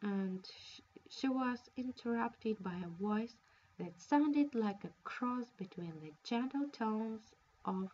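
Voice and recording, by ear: The words are read aloud. It sounds natural.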